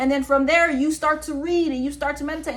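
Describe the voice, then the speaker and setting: Over noticeable background noise, a woman talks in an animated tone at a very fast pace with a high pitch. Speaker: podcast host. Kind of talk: opinion monologue.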